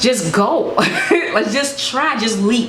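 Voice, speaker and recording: A woman with lively intonation and an animated tone, amid audible room echo and noticeable background noise. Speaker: YouTuber giving advice. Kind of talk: casual advice vlog. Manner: fast.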